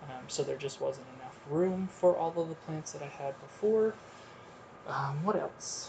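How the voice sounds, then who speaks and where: A man's fairly slow speech, with ordinary pitch variation, is heard through noticeable background noise. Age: 30s. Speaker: podcast host. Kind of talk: solo monologue. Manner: frequent filler ums.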